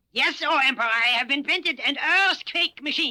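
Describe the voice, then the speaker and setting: This man uses a cartoonish character voice with an extremely high pitch. He speaks at a fairly quick pace. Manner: formal, deferential.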